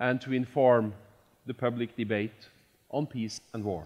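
A man is speaking fairly slowly. The background is quiet. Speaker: event host. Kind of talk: formal introductory speech. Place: hall. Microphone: headset.

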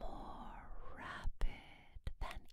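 A woman is whispering. Her tone is soothing. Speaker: reader, narrator. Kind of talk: ASMR story reading. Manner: soothing, soft. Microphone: studio mic.

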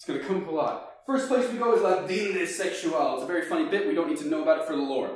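A man talks at a fast pace with lively intonation. Strong echo fills the room.

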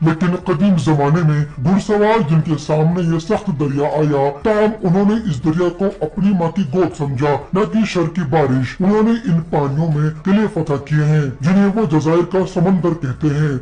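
A man's high-pitched voice at a moderate pace. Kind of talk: informal episode recap storytelling. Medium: read story. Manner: friendly, conversational.

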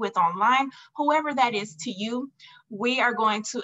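A woman at a moderate pace, with ordinary pitch variation, against a quiet background. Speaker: podcast host. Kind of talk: podcast monologue. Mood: warm, upbeat. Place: home room. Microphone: earbuds.

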